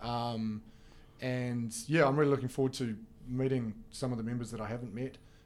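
A man speaks at a moderate pace with a New Zealand accent. His medium-pitched voice keeps a fairly even intonation. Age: 40s. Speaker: esports federation representative. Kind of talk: casual interview. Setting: studio.

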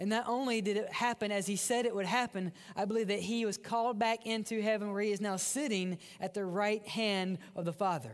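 A high-pitched man with a Mississippi accent, at a fairly quick pace, with fairly even intonation and very even loudness over a quiet background. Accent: Southern US (Mississippi). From US South, Mississippi. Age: young. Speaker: pastor. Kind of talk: sermon. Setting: church.

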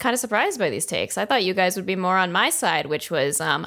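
With lively intonation and medium pitch, a woman speaks in a plain, everyday voice, recorded very cleanly against a silent background. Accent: American. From New Jersey. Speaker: marketing staffer, social media. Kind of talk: casual chat, comedy podcast.

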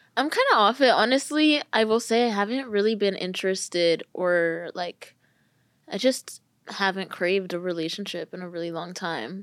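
In a Californian accent, a woman of medium pitch speaks at a moderate pace with lively intonation. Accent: Californian American English. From California, US. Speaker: content creator. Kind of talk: casual chat.

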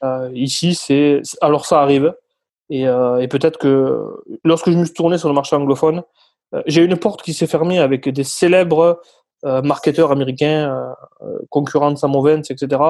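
On a very clean recording with a silent background, a man with a dark, mellow tone and a fairly high pitch talks at a moderate pace with fairly even intonation and long, frequent pauses. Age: 30s. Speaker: sales closer. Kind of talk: interview.

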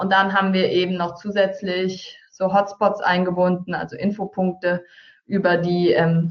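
At a moderate pace, the speaker keeps a monotone, flat intonation throughout. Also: woman. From Hesse, Taunus (Germany). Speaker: marketing entrepreneur. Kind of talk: webinar presentation. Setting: online webinar.

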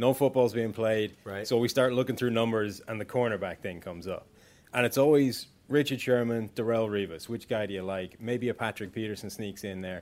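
A man talks at a fairly quick pace. His pitch sits in the middle range, with fairly even intonation. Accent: Irish. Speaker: football analyst. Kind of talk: casual chat.

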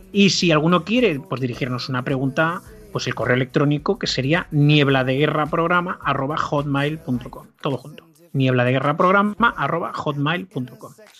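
A man with a fairly high pitch and ordinary pitch variation talks at a moderate pace as noticeable background noise carries on. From Spain, Barcelona. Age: 50s. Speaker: history podcaster. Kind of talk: casual interview chat.

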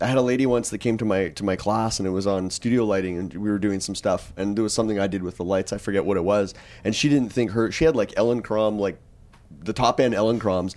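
With a Canadian accent, a man talks at a very fast pace in a fairly low pitch, with ordinary pitch variation. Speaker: wedding photographer and podcast co-host. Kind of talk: casual panel discussion. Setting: hotel room at a convention, group recording.

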